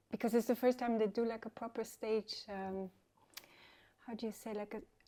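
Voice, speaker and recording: A woman with a French accent speaks at a moderate pace in a fairly high, dark and mellow voice with a flat, monotone delivery. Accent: French-sounding English. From Sweden, some childhood in France. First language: Swedish. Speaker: DJ and musician. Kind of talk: casual interview. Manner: hesitant, many fillers.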